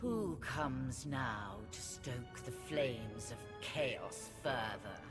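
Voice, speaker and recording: Over loud music in the background, a low, raspy put-on character voice speaks at a very slow pace. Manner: menacing, hissing.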